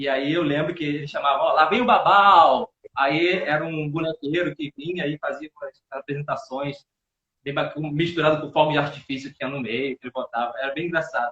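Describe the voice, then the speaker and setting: A man talks at a fairly quick pace in a normal speaking voice, fairly high in pitch with ordinary variation. His loudness swings widely. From Paraíba, Brazil (childhood), later Rio de Janeiro. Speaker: actor and theatre teacher. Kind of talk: casual live interview. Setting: live video stream.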